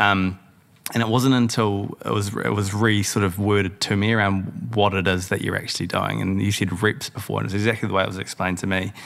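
A man with a New Zealand accent speaks at a fairly quick pace. His pitch is fairly low and his intonation fairly even. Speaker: podcast host and founder. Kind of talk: casual chat.

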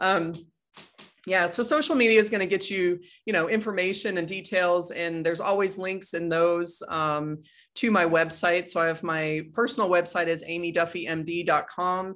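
Here is a woman with a plain, everyday voice, fairly low in pitch. She speaks at a moderate pace on a very clean recording with a silent background. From Colorado, US. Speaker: physician and author. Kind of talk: interview conversation.

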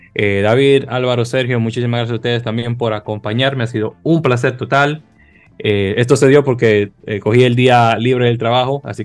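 Over music in the background, a man talks very fast at a medium pitch with fairly even intonation. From Dominican Republic, Santo Domingo. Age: 30s. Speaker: podcast host. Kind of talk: casual chat.

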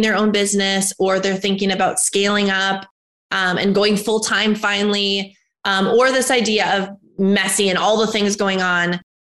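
A woman talks at a moderate pace with an American accent. Hers is an unremarkable speaking voice at medium pitch. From US Midwest (North Dakota). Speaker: entrepreneur. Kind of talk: interview.

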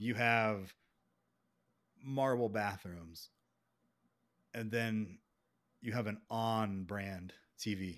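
Speaking at a very slow pace with long, frequent pauses, a man with an American accent uses a fairly low pitch and fairly even intonation on a very clean recording with a silent background. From Beaufort, South Carolina. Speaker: podcast host. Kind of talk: casual chat.

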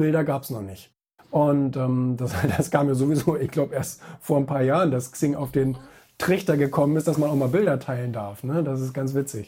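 At a moderate pace, a man with a fairly high, somewhat breathy voice speaks in a dark, mellow tone. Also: ordinary pitch variation. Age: 30s. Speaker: magazine publisher and author. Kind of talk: interview.

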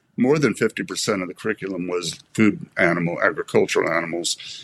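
Moderately paced male speech in a normal speaking voice, pitched fairly low. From US East Coast, Maryland. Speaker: veterinarian and former foundation director. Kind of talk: casual interview conversation.

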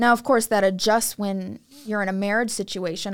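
A woman talks at a moderate pace in a medium pitch, with ordinary pitch variation and a plain, everyday voice. The recording is very clean, with a silent background. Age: 20s. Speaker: young wife giving a woman's perspective. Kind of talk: casual podcast discussion.

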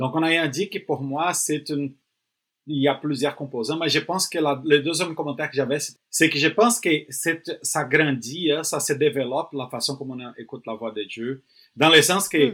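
Fairly high for a man, the voice has a bright, sharp tone, ordinary pitch variation and a moderate pace, in a very clean recording with a silent background. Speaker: pastor and missionary. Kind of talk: podcast conversation.

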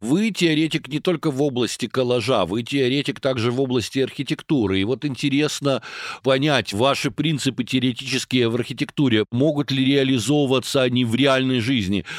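A man with an unremarkable speaking voice talks at a moderate pace and medium pitch, with ordinary pitch variation, very even loudness, and a dry, close sound with no echo. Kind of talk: interview.

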